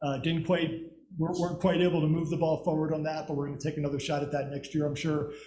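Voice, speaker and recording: Audible room echo surrounds a man speaking at a fairly high pitch with monotone, flat intonation. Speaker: regional government representative. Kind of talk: presentation to city council. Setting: city council meeting. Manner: fast.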